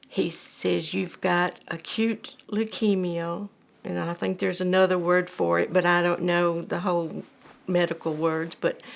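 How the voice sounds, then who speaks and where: In an Alabama accent, the speaker delivers a monotone, flat intonation at a fairly slow pace. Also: woman, fairly low pitch for a woman. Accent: Southern US (Alabama). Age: 70s. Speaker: cancer patient. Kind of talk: testimony. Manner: halting.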